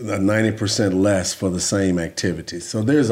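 In a very clean recording with a silent background, a man speaks with a dark, mellow tone at a fairly low pitch. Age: 60s. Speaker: former pro football player and podcast co-host. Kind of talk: casual chat.

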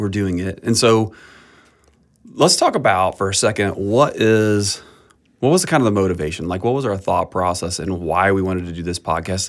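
A man's fairly low-pitched, normal speaking voice at a moderate pace, with ordinary pitch variation. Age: 50s. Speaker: pastor. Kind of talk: casual chat. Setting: studio.

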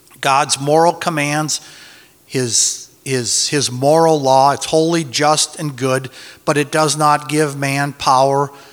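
Very slow, fairly even speech from a man with a fairly high pitch, amid noticeable background noise. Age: 60s. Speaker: Bible teacher. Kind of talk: Bible teaching. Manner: halting.

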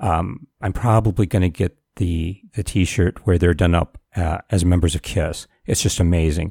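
A man with a very deep, low pitch and an American accent speaks at a fairly slow pace, with hardly any pauses and fairly even intonation. His tone is dark, mellow and somewhat breathy, in a very clean recording with a silent background and a dry, close sound with no echo. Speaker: podcaster. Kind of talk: solo podcast monologue, casual. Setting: home recording with microphone. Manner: rambling, self-deprecating, halting with fillers.

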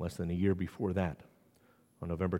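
A man speaks with a New England accent. His pitch is very deep and low. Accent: New England accent, unlike Southern ones. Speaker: priest. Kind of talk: sermon. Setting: church.

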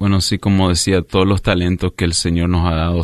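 A very deep, low male voice in a monotone, flat intonation against a quiet background. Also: dry, close sound with no echo. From US, south Florida (Miami area), Nicaraguan parents. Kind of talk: radio interview, personal faith testimony. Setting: radio studio.

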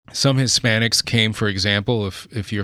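Bright and sharp in tone, a man with an American accent and fairly low pitch speaks at a moderate pace in a very clean recording with a silent background. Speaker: pastor and church planter. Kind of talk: interview. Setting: studio.

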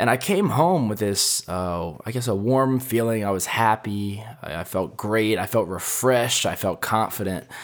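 This man has a normal speaking voice with a fairly low pitch. He talks at a moderate pace with ordinary pitch variation. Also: hardly any pauses. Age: 20s. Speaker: podcast host and college student. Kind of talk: solo casual podcast monologue. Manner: casual with many filler words.

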